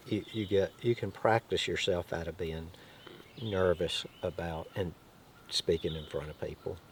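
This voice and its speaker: Somewhat breathy and very deep in pitch, a man talks at a fairly slow pace with ordinary pitch variation. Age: 60s. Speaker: host's father, guest. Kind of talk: casual chat.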